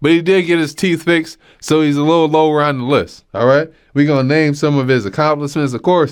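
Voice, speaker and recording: Background sound is quiet. The talking proceeds at a fairly quick pace. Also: man, fairly high pitch for a man. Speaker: podcast host, comedian. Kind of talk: casual comedy podcast monologue. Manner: animated.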